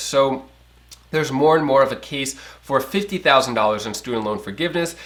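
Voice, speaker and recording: Speaking at a fairly quick pace, a man uses lively intonation in a fairly high voice. Noticeable background noise runs under him. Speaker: finance news youtuber. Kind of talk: casual news commentary. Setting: home. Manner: fast.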